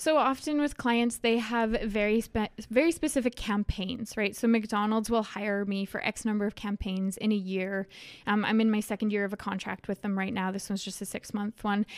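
An unremarkable speaking voice from a woman with a Canadian accent, fairly high in pitch, fairly even in intonation, at a moderate pace. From Saskatchewan, rural grain farm near Leslie. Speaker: travel content creator. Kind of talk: interview.

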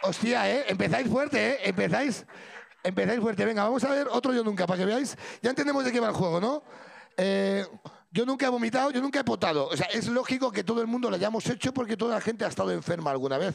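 Talking at a very fast pace, a man with a high pitch uses lively intonation and an animated tone while his loudness stays very even. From Sierra de Madrid, Spain. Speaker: podcast host. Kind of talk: live show with audience. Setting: stage with audience.

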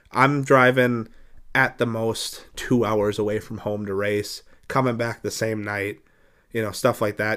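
A man speaks with a plain, everyday voice at a medium pitch and fairly even intonation. The recording is very clean, with a silent background. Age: 20s. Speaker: podcast host and dirt track racer. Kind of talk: casual interview.

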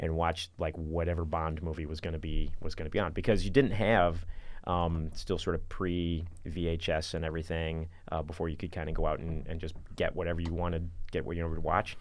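Very deep, low male voice in a monotone, flat delivery at a fairly quick pace, with audible room echo. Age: 50s. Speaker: film commissioner, podcast host. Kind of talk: casual chat.

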